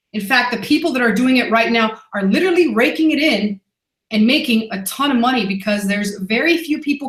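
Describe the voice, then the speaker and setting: Her tone animated and her intonation lively, a woman talks at a fairly quick pace. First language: not English. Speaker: online business coach. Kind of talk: webinar presentation.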